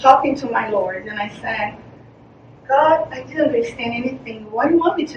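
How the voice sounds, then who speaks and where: A Portuguese accent with ordinary pitch variation, audible room echo, and noticeable background noise. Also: woman. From Brazil. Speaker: charity founder. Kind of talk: presentation. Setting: meeting presentation. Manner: halting.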